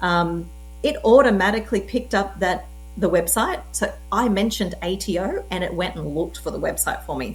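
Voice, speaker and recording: A woman speaks with an Australian accent, with audible room echo around her. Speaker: tech presenter. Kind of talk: tutorial. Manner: casual, conversational.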